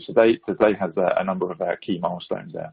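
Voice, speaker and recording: A man with a British accent. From United Kingdom. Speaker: security executive. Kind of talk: webinar presentation. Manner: hesitant, many fillers.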